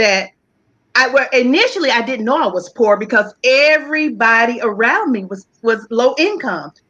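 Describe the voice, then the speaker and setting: A woman's high, bright, sharp voice in a Southern US accent, with very wide pitch swings at a moderate pace. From US South, Charlotte, North Carolina. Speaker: talk show guest. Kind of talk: interview, personal story.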